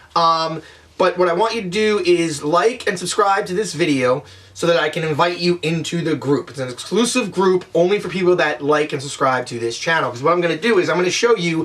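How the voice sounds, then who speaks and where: A man with a high voice talks at a fairly quick pace in an energetic tone, with hardly any pauses, ordinary pitch variation, and noticeable background noise. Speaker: online business vlogger. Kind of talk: tutorial. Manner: fast; casual, energetic.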